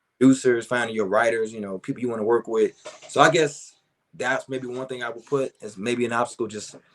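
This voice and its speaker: A man with an American accent has a plain, everyday voice at a medium pitch. His intonation is fairly even, but his loudness swings a lot. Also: fairly quick pace. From Chicago. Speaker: R&B singer and songwriter. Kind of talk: interview answer. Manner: casual, relaxed.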